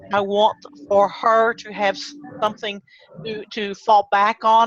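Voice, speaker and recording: Against noticeable background noise, a woman with an American accent speaks in a monotone, flat intonation. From Texas. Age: 60s. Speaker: online marketer, former small business owner. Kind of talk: interview. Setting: video call.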